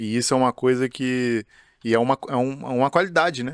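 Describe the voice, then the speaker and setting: Dry and close with no echo, a man speaks with fairly even intonation in an ordinary speaking voice. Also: very clean recording, silent background. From Juiz de Fora, Minas Gerais, Brazil. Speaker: podcast host, football academy head. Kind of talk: casual podcast chat.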